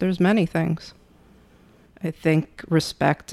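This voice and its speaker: A soft-spoken woman talks with a very deep, low pitch. Her intonation is fairly even. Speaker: co-host spouse. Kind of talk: casual chat.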